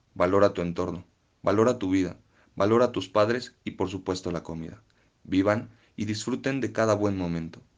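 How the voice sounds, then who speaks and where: A man with a fairly low pitch and ordinary pitch variation speaks in a plain, everyday voice against a quiet background. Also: moderate pace. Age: 20s. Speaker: podcast contributor. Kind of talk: personal testimony.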